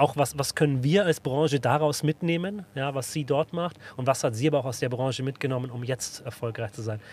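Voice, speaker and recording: Speaking at a fairly quick pace with hardly any pauses, a man uses a somewhat breathy voice at a medium pitch with ordinary pitch variation. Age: 30s. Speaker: podcast host from the insurance industry. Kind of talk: casual chat. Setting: podcast studio in a bus.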